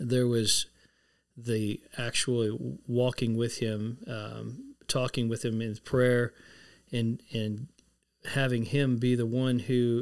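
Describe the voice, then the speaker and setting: A man talks with a Texan accent at a medium pitch. His intonation stays fairly even. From Texas, San Antonio. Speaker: former ministry staff member. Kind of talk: interview.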